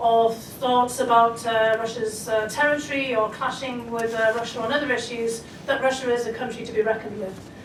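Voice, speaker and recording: Against noticeable background noise and audible room echo, a woman with a Scottish accent speaks at a fairly quick pace in a high pitch with monotone, flat intonation. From Scotland. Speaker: foreign policy expert. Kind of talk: panel discussion. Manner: hesitant, many fillers.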